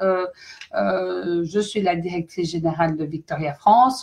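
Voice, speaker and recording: The speaker is a woman with a medium pitch. The background is quiet. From Belgium. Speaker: company director. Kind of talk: live stream presentation. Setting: online live stream. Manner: hesitant, many fillers.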